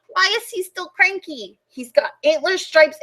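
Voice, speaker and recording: At a moderate pace, the speaker uses a put-on character voice with extremely high pitch. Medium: read story.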